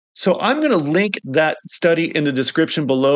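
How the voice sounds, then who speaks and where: Speaking at a fairly quick pace, a man uses a fairly high pitch with vocal fry and lively intonation. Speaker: video blogger living with multiple sclerosis. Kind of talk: casual vlog talk. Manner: halting.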